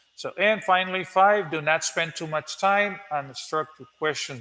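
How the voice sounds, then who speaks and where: At a fairly slow pace, a man talks in a Spanish accent. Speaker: English teacher. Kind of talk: tutorial. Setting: live stream. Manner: halting.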